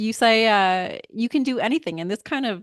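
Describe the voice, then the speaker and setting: A woman talks at a fairly quick pace with lively intonation in an ordinary speaking voice. The sound is dry and close with no echo, against a quiet background. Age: 40s. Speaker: podcast host, fashion designer. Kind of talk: interview.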